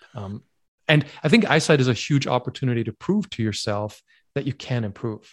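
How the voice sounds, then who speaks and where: At a fairly quick pace, a man with a somewhat breathy, medium-pitched voice speaks with lively intonation in a very clean recording with a silent background. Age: 40s. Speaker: myopia self-help educator. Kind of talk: interview.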